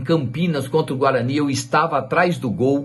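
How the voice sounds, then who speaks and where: Audible room echo surrounds a man speaking at a moderate pace in a medium pitch. His tone is animated and somewhat breathy. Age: 60s. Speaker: football fan, YouTuber. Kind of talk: personal storytelling to camera.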